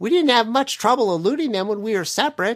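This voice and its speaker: Someone in a put-on character voice talks very fast at a fairly high pitch. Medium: read story.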